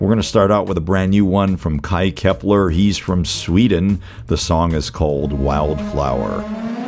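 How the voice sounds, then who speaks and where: Over music in the background, a man with an American accent speaks at a fairly slow pace with hardly any pauses, his very deep, low pitch showing ordinary variation. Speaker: radio host. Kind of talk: radio DJ patter, intro and back-announcing songs. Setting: radio studio broadcast. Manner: conversational, wry and chatty; upbeat, jokey.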